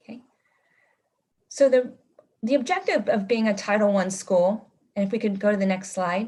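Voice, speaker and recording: With long, frequent pauses and big swings in loudness, a woman speaks in a fairly high, somewhat breathy voice with a dark, mellow tone and ordinary pitch variation. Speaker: school administrator. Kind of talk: presentation at meeting. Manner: fast.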